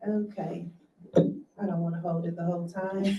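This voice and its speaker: A soft-spoken woman at a moderate pace. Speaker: community advocate and author. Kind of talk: motivational talk. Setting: in-person audience with microphone, also streamed.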